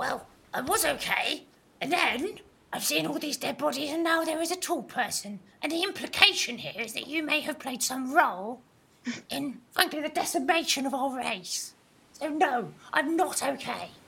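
Someone uses a put-on character voice pitched high. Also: moderate pace.

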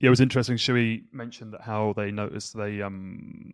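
On a very clean recording with a silent background, a man with an English accent speaks at a fairly low pitch in a monotone, flat delivery, the sound dry and close with no echo. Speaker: podcast host. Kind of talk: casual chat.

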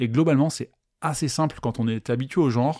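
The recording is very clean, the background silent. A man speaks in a dark, mellow tone at a medium pitch with ordinary pitch variation. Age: 30s. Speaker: podcast host. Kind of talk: casual monologue. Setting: live stream recording.

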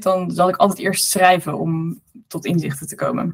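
Somewhat breathy, a woman talks at a fairly slow pace. Her pitch sits in the medium range. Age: 30s. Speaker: author and entrepreneur. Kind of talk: interview conversation.

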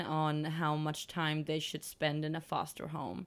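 A woman speaks in a Swedish accent. Her pace is very slow. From Sweden. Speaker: dog rescue co-founder, podcast co-host. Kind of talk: casual chat.

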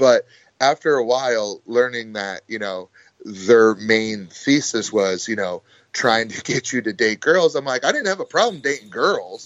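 With an American accent, a man talks at a fairly slow pace in a plain, everyday voice, his medium pitch carried by lively intonation. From US, small town. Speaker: pro wrestler. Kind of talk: casual interview chat.

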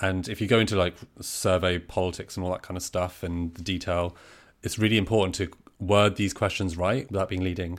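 Very deep and low, a man's voice moves at a fairly quick pace with fairly even intonation. The recording is very clean, the background silent. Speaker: podcast co-host. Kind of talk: casual chat.

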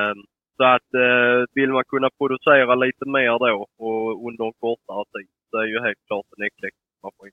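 This man talks at a moderate pace in a medium pitch, his intonation flat and monotone. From southern Sweden, Skåne. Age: 20s. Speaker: poultry breeder. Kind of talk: interview answers.

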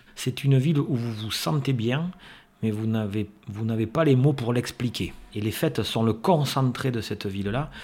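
The speech moves at a moderate pace. The voice is somewhat breathy. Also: man, medium pitch for a man, ordinary pitch variation. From Landes, southwest France. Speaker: lifelong friend, festival-goer. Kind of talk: interview storytelling.

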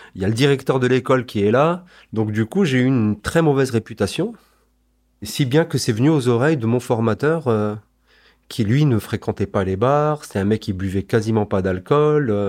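On a very clean recording with a silent background, a man with a medium pitch speaks at a moderate pace with lively intonation. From Strasbourg, Alsace, France. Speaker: former intelligence police officer. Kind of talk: testimony. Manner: conversational with frequent hesitations.

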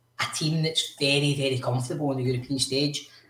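This man speaks with a Glasgow accent at a medium pitch. His intonation is fairly even, and his voice is somewhat breathy. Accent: Scottish (Glasgow). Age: 30s. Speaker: podcast co-host. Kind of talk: casual chat.

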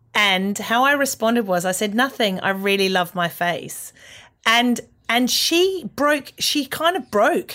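Bright and sharp in tone, the Australian-accented voice moves at a fairly slow pace with very wide pitch swings and very even loudness, on a very clean recording with a silent background. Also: woman, fairly high pitch for a woman. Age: 40s. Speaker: comedian. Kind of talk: casual chat.

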